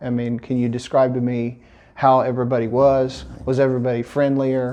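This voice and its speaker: An American man speaks at a medium pitch with a dark, mellow tone and a monotone, flat intonation. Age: young. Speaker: interviewer. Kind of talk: casual interview.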